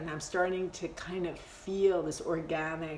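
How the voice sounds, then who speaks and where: A woman with a fairly low pitch at a fairly slow pace, with audible room echo. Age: 60s. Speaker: meditation teacher. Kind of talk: live-streamed meditation class. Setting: Instagram Live video stream. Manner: casual, halting with many fillers.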